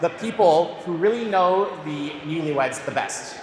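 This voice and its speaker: The delivery is at a fairly slow pace. Noticeable background noise can be heard. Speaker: wedding MC. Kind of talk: MC announcements.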